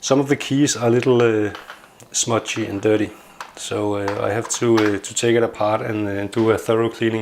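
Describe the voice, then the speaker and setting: A man with a non-native accent and a medium pitch talks at a moderate pace in a monotone, flat intonation. Noticeable background noise is present. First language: not English. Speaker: tech hobbyist YouTuber. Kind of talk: casual product review. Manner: hesitant, many filler sounds.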